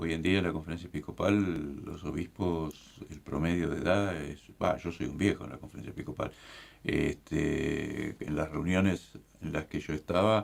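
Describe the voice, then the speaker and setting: A man with a very deep, low pitch, vocal fry, ordinary pitch variation, and a fairly slow pace. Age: 60s. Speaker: bishop. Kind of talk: casual chat.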